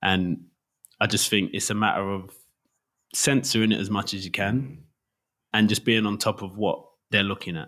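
A man with an East London accent speaks at a fairly low pitch in a bright, sharp tone, with fairly even intonation. He leaves long, frequent pauses, and the recording is very clean with a silent background. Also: moderate pace. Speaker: DJ. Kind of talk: casual chat.

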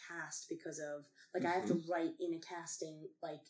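Her pitch swings very widely as a woman talks at a fairly quick pace. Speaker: actor and performer. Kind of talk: casual chat. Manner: animated.

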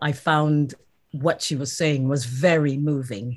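In a very clean recording with a silent background, a woman with a very deep, low pitch speaks at a fairly slow pace with fairly even intonation. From South Africa. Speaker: actor. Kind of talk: interview.

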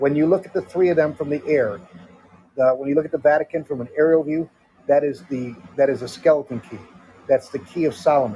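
Speaking at a fairly quick pace, a man with an American accent uses an unremarkable speaking voice, fairly high in pitch with ordinary pitch variation. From Connecticut. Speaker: former military defense analyst. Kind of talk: casual chat.

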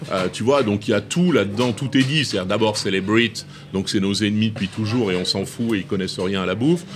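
Amid noticeable background noise, a man talks fairly quickly at a fairly low pitch with ordinary pitch variation. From rural France. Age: 60s. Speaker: chef and restaurant owner. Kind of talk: interview conversation. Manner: animated.

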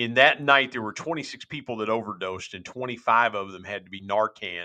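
Talking at a moderate pace, a man with an ordinary speaking voice keeps a medium pitch and ordinary pitch variation. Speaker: minister and podcaster. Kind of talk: testimony. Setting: remote call.

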